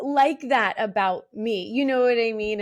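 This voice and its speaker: She speaks with a Philadelphia accent. The woman keeps a moderate pace. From Philadelphia, US. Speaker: mortgage loan originator and regional vice president. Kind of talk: casual interview chat.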